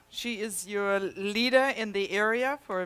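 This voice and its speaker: In a German accent, the speaker goes at a fairly slow pace over noticeable background noise. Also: woman. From Germany. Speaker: health technology presenter. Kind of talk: presentation to a live audience. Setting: presentation room with audience.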